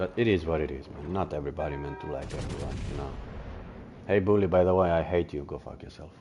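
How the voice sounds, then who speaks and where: A man with a non-native accent talks at a very fast pace in a very deep, low voice. His loudness swings a lot, with music in the background. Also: ordinary pitch variation. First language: not English. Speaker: gaming streamer. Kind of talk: casual chat. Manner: halting.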